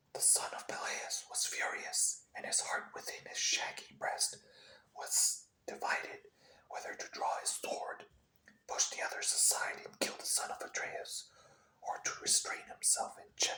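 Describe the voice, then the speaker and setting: Whispering, the man goes at a fairly slow pace. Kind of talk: ASMR whisper reading of a classic epic. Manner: whispered.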